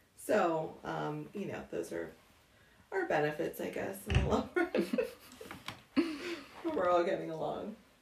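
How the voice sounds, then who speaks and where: A woman with an American accent at a very slow pace amid noticeable background noise. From Pittsburgh area, Pennsylvania. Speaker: homeowner. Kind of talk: interview. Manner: hesitant, many fillers.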